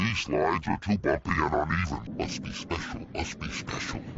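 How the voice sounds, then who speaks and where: A man performs a cartoonish character voice. The delivery is fully put-on. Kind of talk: children's cartoon voice acting. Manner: varied character voices.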